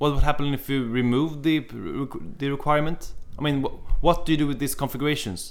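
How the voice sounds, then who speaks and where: This man's pitch is fairly high. He speaks at a very fast pace. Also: ordinary pitch variation. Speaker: podcast host.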